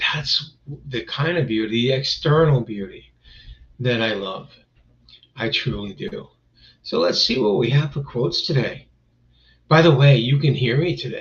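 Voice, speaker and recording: A man of medium pitch talks at a fairly slow pace with lively intonation. He takes long, frequent pauses. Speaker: live-stream host. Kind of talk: casual live-stream talk. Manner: rambling, filler-heavy.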